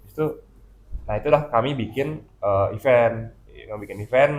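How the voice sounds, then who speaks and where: A man speaks at a moderate pace with a slight Balinese accent. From Bali, Indonesia. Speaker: comic artist and illustrator. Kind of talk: casual chat. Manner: halting, many fillers.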